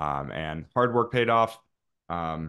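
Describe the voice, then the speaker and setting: Over a quiet background, a man with an American accent and a very deep, low pitch speaks with ordinary pitch variation. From US South, Florida panhandle (Pensacola); Florida. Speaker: music producer and instructor; instructor. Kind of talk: casual chat. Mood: relaxed, reflective. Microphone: studio mic.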